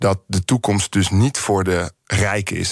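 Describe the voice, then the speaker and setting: The intonation stays fairly even throughout. The recording is very clean, with a silent background. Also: man. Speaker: writer and opinion maker. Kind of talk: radio interview. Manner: heated, agitated.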